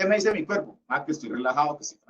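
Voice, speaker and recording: In a Cali accent, a man talks at a very fast pace. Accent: Cali (caleño) Colombian Spanish. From Colombia, Cali. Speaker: lecturer. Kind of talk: lecture.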